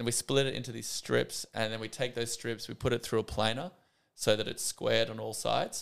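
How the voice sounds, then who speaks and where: A man with an Australian accent, in a very clean recording with a silent background. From Australia, Sydney. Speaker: architect. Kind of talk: casual interview.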